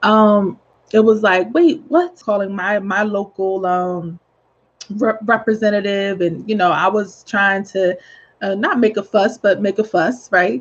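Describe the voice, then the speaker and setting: Against a quiet background, a woman speaks at medium pitch. Her pace is fairly slow. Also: ordinary pitch variation. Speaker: real estate agent. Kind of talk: informal video tip. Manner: hesitant, many fillers.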